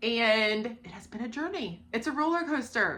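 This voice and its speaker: Bright and sharp in tone, a woman with an American accent talks at a fairly slow pace, her fairly high voice full of lively intonation. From Ohio. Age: 30s. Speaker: book vlogger. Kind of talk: casual chat.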